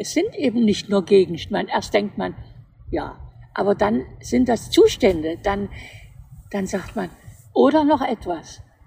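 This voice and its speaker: A woman speaks at a very slow pace in a dark, mellow tone. Vocal fry runs through her voice. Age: 80s+. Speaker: retired interior architect. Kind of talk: casual chat.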